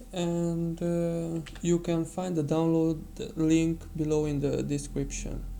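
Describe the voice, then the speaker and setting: Speech comes at a very slow speed. It is delivered in a non-native accent. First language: not English. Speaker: digital painting tutor. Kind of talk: tutorial. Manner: halting.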